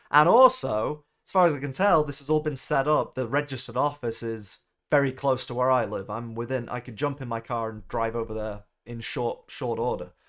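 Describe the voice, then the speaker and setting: On a very clean recording with a silent background, a man with a Mancunian accent talks at a fairly quick pace, his medium pitch showing ordinary variation. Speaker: gaming streamer. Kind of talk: live stream commentary. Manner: casual, conversational.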